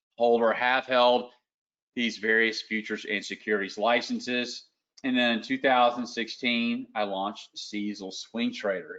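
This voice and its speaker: A man talks in a Southern US accent. His pace is moderate and his intonation fairly even. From US South, Lower Alabama. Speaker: trading educator. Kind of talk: live webinar presentation. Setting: online webinar. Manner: casual.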